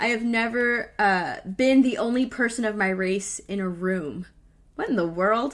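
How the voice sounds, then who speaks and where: A woman speaks with an American accent at a fairly high pitch and a fairly slow pace. Her tone is animated. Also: ordinary pitch variation. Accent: slight Texas twang, comes out sometimes. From Texas. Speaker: live stream show host. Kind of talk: casual chat.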